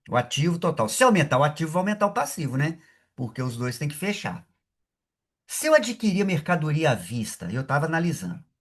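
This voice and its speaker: A man's voice carries vocal fry and very wide pitch swings over a quiet background. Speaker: accounting professor. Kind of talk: lecture.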